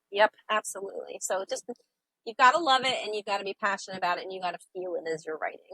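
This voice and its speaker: Speaking very fast with an American accent, a woman uses a bright, sharp tone at medium pitch, with ordinary pitch variation and big swings in loudness, in a dry, close sound with no echo. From upstate New York. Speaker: sailor and author. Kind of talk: interview.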